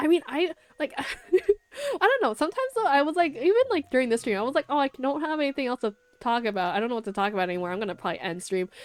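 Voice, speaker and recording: A woman speaks at a very fast pace in a high voice with very wide pitch swings, recorded dry and close with no echo over noticeable background noise. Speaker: vtuber streamer. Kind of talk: casual chat. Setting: live stream. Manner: stumbling over words.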